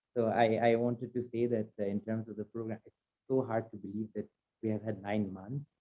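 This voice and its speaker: A man talks with a Bengali accent. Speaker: playwright. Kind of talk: roundtable discussion.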